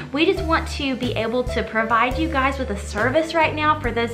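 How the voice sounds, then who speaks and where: With clear music in the background, a woman talks at a fairly quick pace. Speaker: cooking channel host. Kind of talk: casual vlog chat. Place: home room.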